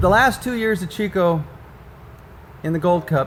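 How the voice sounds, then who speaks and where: A man's voice at a moderate pace with lively intonation. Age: 60s. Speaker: sprint car team owner. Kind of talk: casual interview.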